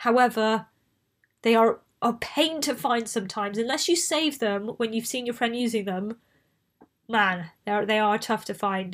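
Her pitch fairly high and its variation ordinary, a woman speaks with a Bristol accent. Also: moderate pace, very clean recording, silent background. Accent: Bristolian English accent, mild. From southwest England. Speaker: podcast host. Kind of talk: casual chat. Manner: chatty, prone to tangents.

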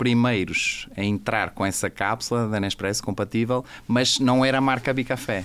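A man's voice sits at a medium pitch. The intonation stays fairly even. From Portugal. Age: 40s. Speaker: coffee company executive. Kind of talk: casual interview. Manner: hesitant, many fillers.

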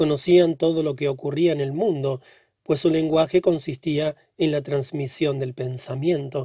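Speaking fairly slowly, a man uses a dark, mellow, solemn tone that is somewhat breathy, with fairly even intonation. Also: fairly high pitch for a man. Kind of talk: literary audiobook reading. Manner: slow, measured, solemn narration with an ominous, hushed gravity; formal, even-paced and steady, building dread on each long sentence.

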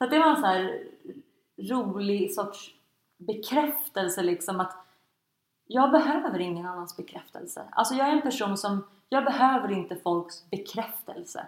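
Pausing long and often, a woman speaks at a moderate pace and medium pitch with very wide pitch swings. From Sweden, Stockholm. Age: 20s. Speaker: blogger and entrepreneur. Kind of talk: interview.

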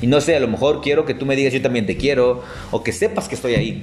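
This man talks at a very fast pace. There is noticeable background noise. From Tapachula, Chiapas, southern Mexico. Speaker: podcast co-host. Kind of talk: casual chat.

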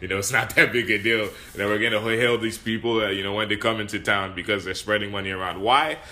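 Talking at a very fast clip, a man with a fairly low voice keeps his intonation fairly even over noticeable background noise. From Nigeria. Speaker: podcast host. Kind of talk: casual discussion. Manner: hesitant, many fillers.

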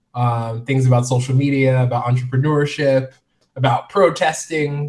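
Somewhat breathy man with an American accent, medium pitch, moderate pace and monotone, flat intonation. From US Midwest and Florida (military family). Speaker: fashion blogger and author. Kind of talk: interview.

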